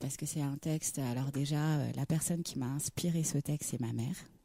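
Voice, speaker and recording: A woman speaks with a dark, mellow tone at a very deep, low pitch. Her pace is fairly quick, with ordinary pitch variation, on a very clean recording with a silent background. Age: 30s. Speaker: singer. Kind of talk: radio interview.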